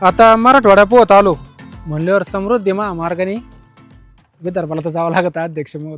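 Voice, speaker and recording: Music plays in the background as a man talks in a high pitch with ordinary pitch variation. His loudness swings widely. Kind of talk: comedy sketch host narration.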